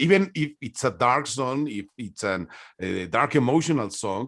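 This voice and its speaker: Against a quiet background, a man with a Spanish accent talks at medium pitch and a moderate pace with lively intonation. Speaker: music interviewer. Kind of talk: interview. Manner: halting.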